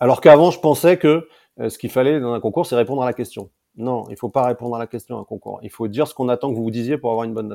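Speaking very fast at medium pitch, a man has a dark, mellow tone with ordinary pitch variation and big swings in loudness. The sound is dry and close with no echo, on a very clean recording with a silent background. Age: 40s. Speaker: entrepreneur and former ministerial chief of staff. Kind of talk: interview. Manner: halting, many repetitions and hesitations.

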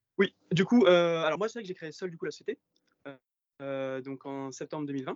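A man speaks at a moderate pace with a fairly high pitch and ordinary pitch variation. His loudness swings widely, and he takes long, frequent pauses. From Provence, Var. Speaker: startup founder. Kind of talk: interview. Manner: halting, many fillers. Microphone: phone, connection problem.

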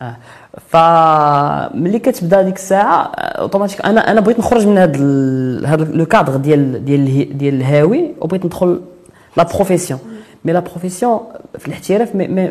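With lively intonation and a high voice, a man talks fairly quickly as noticeable background noise sounds behind him. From Morocco, Kenitra. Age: 30s. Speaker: adventurer, former physiotherapist. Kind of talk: interview.

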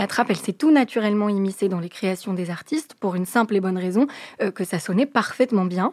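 With a plain, everyday voice, the speaker moves at a fairly quick pace with ordinary pitch variation, the sound dry and close with no echo. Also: woman. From France, Moroccan family from Fès. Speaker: radio host. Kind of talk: scripted narration. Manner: clear, fluent.

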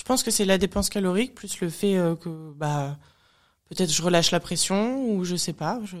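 A woman with a normal speaking voice at medium pitch, ordinary pitch variation and a moderate pace. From France. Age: 30s. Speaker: bodybuilding athlete. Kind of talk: casual chat.

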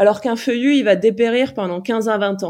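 This woman has a fairly high pitch and lively intonation against a quiet background. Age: 40s. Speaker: farmer in training, former city dweller. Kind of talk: interview conversation. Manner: frank and direct.

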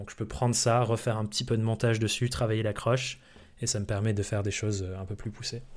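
Recorded very cleanly against a silent background, a man uses an ordinary speaking voice at medium pitch, with a fairly quick pace and fairly even intonation. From France. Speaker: entrepreneur and content creator. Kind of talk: casual interview chat.

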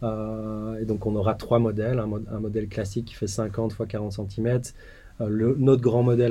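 Audible room echo carries a dark, mellow voice at a moderate pace with monotone, flat intonation. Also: man. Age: 30s. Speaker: tech startup founder. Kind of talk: interview. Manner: halting, frequent repetitions.

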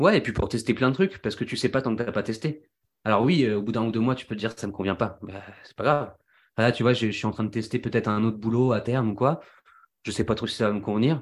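Recorded very cleanly over a silent background, a medium-pitched man races along at a very fast pace with ordinary pitch variation. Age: 20s. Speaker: singer and engineer. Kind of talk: casual chat. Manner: animated.

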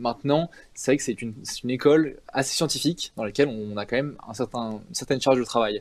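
A man's medium-pitched voice runs very fast, with ordinary pitch variation. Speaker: engineering student. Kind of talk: interview. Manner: hesitant, many fillers.

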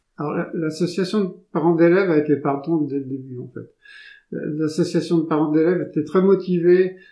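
Against a quiet background, a man with a fairly high pitch and a dark, mellow tone speaks at a moderate pace with fairly even intonation. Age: 60s. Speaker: local elected official for sustainability and agriculture. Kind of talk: interview. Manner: halting, many fillers.

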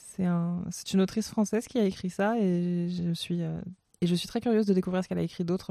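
This woman talks at a very fast pace. Her medium-pitched voice has monotone, flat intonation. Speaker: culture podcast host. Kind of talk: solo recommendations monologue. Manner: halting with repetitions.

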